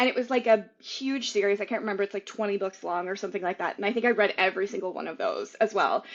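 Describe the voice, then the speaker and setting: Over noticeable background noise, a woman talks very fast at a fairly high pitch in an animated tone. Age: 40s. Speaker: novelist. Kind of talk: casual chat. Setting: podcast interview.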